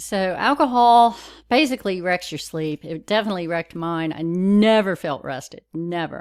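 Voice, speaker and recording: Lively intonation marks a woman's medium-pitched voice, captured in a very clean recording with a silent background. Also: moderate pace. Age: 60s. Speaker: lifestyle vlogger. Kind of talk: personal talk to camera. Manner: halting.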